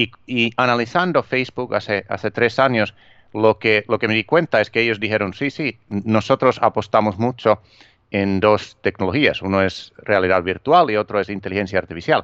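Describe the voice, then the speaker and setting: A man with a Finnish accent speaks at a fairly low pitch, with ordinary pitch variation, over a quiet background. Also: moderate pace. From Finland. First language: Finnish (speaking Spanish). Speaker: author and digital marketing trainer. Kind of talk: interview. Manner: halting, with fillers and repetitions.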